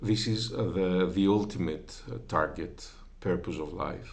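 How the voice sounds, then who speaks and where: A man speaks with a non-native accent and ordinary pitch variation. The room echo is audible. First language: Greek. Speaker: religious video creator. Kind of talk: informal religious talk. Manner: halting, many filler sounds.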